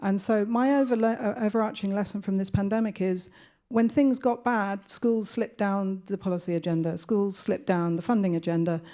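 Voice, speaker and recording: Soft-spoken, a woman talks at a fairly quick pace in a dark, mellow tone at medium pitch with ordinary pitch variation, on a very clean recording with a silent background. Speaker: education researcher, panelist. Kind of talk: panel discussion. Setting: conference panel with audience.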